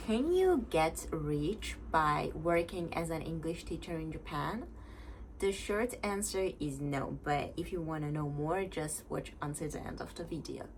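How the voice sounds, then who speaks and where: Audible room echo follows a woman who talks fairly slowly. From Iran. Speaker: exchange student and part-time English teacher, vlogger. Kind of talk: casual vlog talk to camera. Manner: casual, with frequent hesitations.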